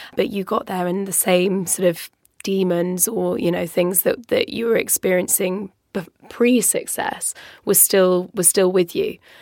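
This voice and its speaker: Speaking with an English accent, a woman keeps a medium pitch and fairly even intonation at a fairly slow pace. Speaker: podcast co-host. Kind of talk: casual chat. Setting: studio.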